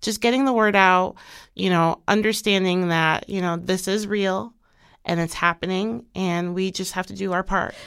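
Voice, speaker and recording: Using a normal speaking voice at medium pitch, a woman talks at a moderate pace with ordinary pitch variation in a very clean recording with a silent background. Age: 30s. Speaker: cancer survivor. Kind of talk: interview.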